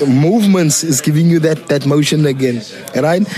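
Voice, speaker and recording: Against noticeable background noise, a man talks at a moderate pace. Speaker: podcast host. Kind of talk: casual interview chat. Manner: loud.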